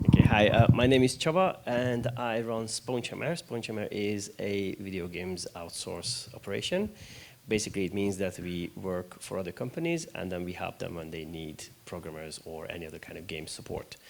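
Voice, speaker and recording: A man with a Hungarian accent, fairly low pitch and lively intonation, moderate pace, hardly any pauses and big swings in loudness. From Hungary. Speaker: games studio founder. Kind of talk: panel discussion.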